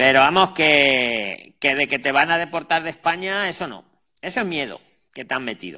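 A man's fairly high, bright, sharp voice at a moderate pace, with lively intonation and big swings in loudness. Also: quiet background. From Spain. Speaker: job advice channel host; channel host interviewing a guest. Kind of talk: live call-in consultation. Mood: reassuring, empathetic. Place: home room. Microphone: earbuds.

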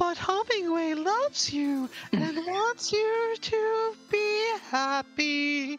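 An extremely high-pitched, put-on character voice talks at a very slow pace with hardly any pauses. Clear music sounds in the background. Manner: silly, unnerving.

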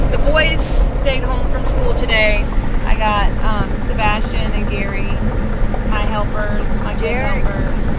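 A woman speaks at a fairly slow pace with long, frequent pauses, her voice dry with no echo against loud background noise. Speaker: vlogger. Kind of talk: casual vlog chat. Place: car. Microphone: phone near.

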